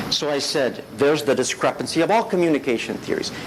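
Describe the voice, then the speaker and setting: The speech moves very fast with ordinary pitch variation, and noticeable background noise is present throughout. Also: man. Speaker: professor. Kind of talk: lecture.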